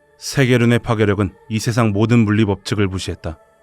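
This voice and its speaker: With music in the background, a man talks at a fairly quick pace, his pitch fairly low and his intonation fairly even. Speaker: voice actor. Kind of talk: game lore story narration.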